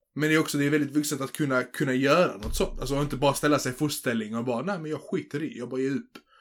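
In a very clean recording with a silent background, a man talks at a very fast pace with hardly any pauses, a fairly high pitch and ordinary pitch variation. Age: 20s. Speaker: podcast co-host. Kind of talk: casual chat.

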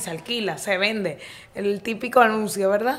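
Her intonation fairly even, a woman talks amid audible room echo. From Dominican Republic, Santo Domingo. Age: 20s. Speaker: entrepreneur and health coach. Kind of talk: casual interview.

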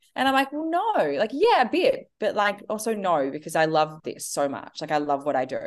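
A woman speaks with an Australian accent. She keeps a moderate pace. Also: hardly any pauses. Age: 30s. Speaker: entrepreneur and author. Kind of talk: interview.

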